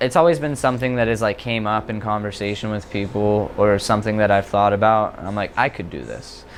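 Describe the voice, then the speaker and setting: Fairly low in pitch, a man speaks at a fairly quick pace with hardly any pauses and ordinary pitch variation. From West Virginia, Ohio Valley. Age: 20s. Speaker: stand-up comedian. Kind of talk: casual interview. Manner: hesitant, many fillers.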